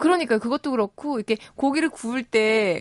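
A woman talks at a moderate speed, her intonation lively. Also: dry, close sound with no echo. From Busan, South Korea. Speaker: radio host. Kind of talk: casual chat.

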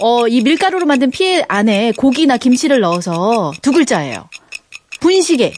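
Her pitch high and swinging very widely, a woman talks at a moderate pace with very even loudness. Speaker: former sports broadcaster, guest DJ. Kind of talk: casual radio chat. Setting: radio studio.

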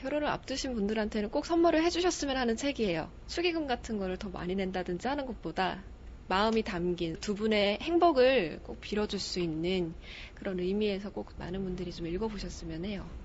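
Somewhat breathy, a woman talks at a fairly quick pace in a medium pitch with very wide swings in pitch. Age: 20s. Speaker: aspiring news announcer and stage MC. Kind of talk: book recommendation.

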